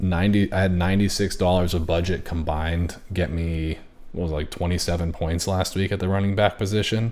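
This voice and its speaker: A man speaks quietly in a very deep, low pitch. His delivery is monotone and flat at a fairly quick pace. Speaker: fantasy football league commissioner. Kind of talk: solo commentary on fantasy rankings.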